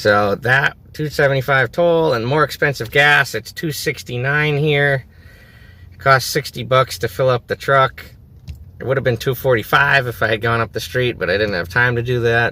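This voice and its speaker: A man with an American accent speaks in a bright, sharp tone. His pitch is medium, with ordinary variation. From US Northeast (New England). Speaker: travel vlogger. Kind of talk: casual vlog to camera. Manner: fast.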